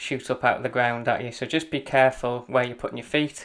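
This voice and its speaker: The recording is very clean, with a silent background. The speaker has a Welsh accent. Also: man. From Wales. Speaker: running coach. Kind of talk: route guide narration while running. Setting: outdoors on mountains. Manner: casual, hesitant.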